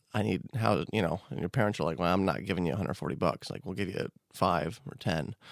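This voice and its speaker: With a General American accent and vocal fry, a man speaks very fast at a very deep, low pitch with lively intonation in a very clean recording with a silent background. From Colorado, US. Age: 30s. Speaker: magician. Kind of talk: casual chat. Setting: studio.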